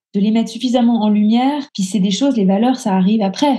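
Her voice is fairly high, somewhat breathy, and dark and mellow in tone. The woman moves at a fairly quick pace. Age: 40s. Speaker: coaching client. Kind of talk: testimony interview. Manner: halting.

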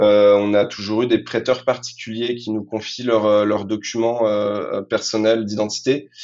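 A man speaks in a monotone, flat intonation at a fairly low pitch. His pace is fairly slow, with hardly any pauses. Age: 30s. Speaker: tech executive. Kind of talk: interview. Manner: halting, many fillers and repetitions.

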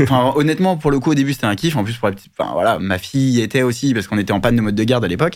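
A man's medium-pitched voice at a very fast pace, hardly any pauses, and ordinary pitch variation. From France (Paris). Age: 30s. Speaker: business founder. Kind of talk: interview.

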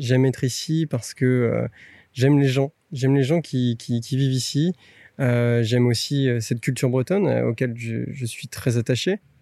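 The speech moves at a fairly slow pace with ordinary pitch variation in a dry, close sound with no echo. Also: man, medium pitch for a man. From Brittany, France. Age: 30s. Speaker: interviewee. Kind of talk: interview testimony. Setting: outdoors. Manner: halting.

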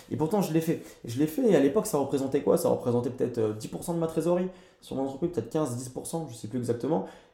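Lively in intonation, a man with a fairly high voice speaks at a very fast pace. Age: 20s. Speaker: entrepreneur. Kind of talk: casual chat. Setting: in person recording.

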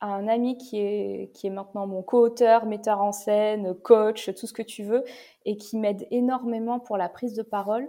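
Her voice sits fairly high and stays monotone and flat as the woman talks at a fairly slow pace. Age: 30s. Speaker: comedian. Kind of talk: casual chat.

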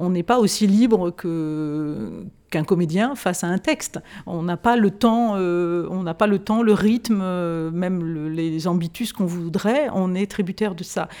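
In a very clean recording with a silent background, a woman with a dark, mellow tone speaks at medium pitch and a fairly slow pace, with ordinary pitch variation. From France. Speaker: classical singer. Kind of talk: interview conversation. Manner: halting.

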